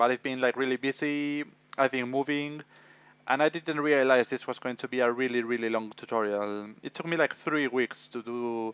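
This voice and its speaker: Speech comes with a Spanish accent, at a moderate pace and with fairly even intonation. The sound is dry and close, with no echo. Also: man, medium pitch for a man, quiet background. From Spain, Madrid. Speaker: visual effects tutor. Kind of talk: tutorial. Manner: hesitant, many fillers.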